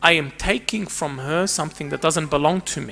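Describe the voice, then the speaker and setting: A man with a fairly high pitch, a bright, sharp tone and vocal fry. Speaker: counsellor and psychotherapist giving a church talk. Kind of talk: talk to a church group.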